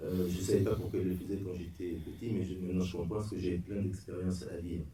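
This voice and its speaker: Somewhat breathy, a man with a very deep, low pitch and a dark, mellow tone speaks against audible room echo. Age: 60s. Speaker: bereaved father giving a talk. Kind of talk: testimony. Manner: halting.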